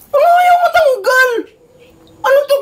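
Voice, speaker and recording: This put-on character voice sits at an extremely high pitch and shouts. It moves at a fairly slow pace. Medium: comedy sketch. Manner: complaining, exasperated.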